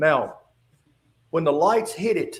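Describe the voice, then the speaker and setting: A man with an Appalachian accent, very slow pace and lively intonation. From West Virginia. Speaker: retired state trooper. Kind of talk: testimony. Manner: halting.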